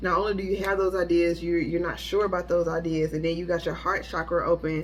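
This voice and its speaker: Over music in the background, a woman with a fairly low pitch keeps fairly even intonation at a fairly quick pace. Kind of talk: tarot reading monologue. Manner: fast; halting with many fillers.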